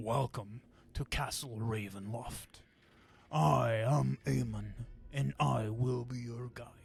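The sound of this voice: A man does a put-on character voice. His pitch sits in the medium range. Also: fairly slow pace.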